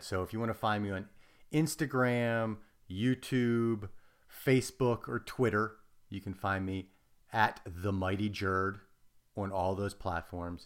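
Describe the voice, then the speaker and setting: A man's unremarkable speaking voice, fairly low in pitch, with ordinary pitch variation and a fairly slow pace, on a very clean recording with a silent background. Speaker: author and stunt performer. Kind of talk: casual chat.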